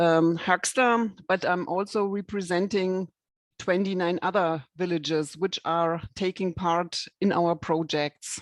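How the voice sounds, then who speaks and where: A woman with a German accent is heard in a dry, close sound with no echo. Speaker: rural development project coordinator. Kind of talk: online presentation. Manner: halting.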